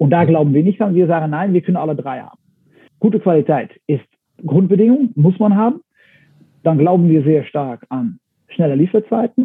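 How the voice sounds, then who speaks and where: Pausing long and often, a man speaks at a moderate pace with a high pitch and lively intonation. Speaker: company executive. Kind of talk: interview. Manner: halting, with frequent fillers and repetitions.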